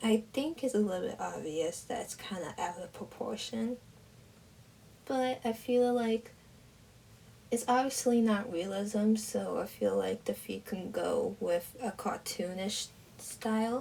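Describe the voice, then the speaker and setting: A woman's fairly high, somewhat breathy voice with a dark, mellow tone at a fairly slow pace. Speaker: art YouTuber. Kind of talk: drawing voiceover commentary. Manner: monotone, low energy; quiet, soft-spoken.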